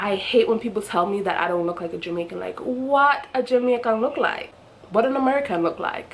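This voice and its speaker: Lively intonation marks a woman's fairly high voice as she talks at a fairly quick pace amid noticeable background noise. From Jamaica. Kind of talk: casual talk to camera.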